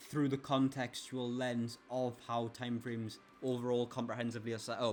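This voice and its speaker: A man speaks with a monotone, flat intonation. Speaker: forex trader. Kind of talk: tutorial. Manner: fast.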